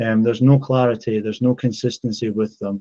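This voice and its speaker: A man's medium-pitched voice with a dark, mellow tone and monotone, flat intonation. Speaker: football coaching educator, community host. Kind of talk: online group call presentation. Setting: video group call. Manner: fast.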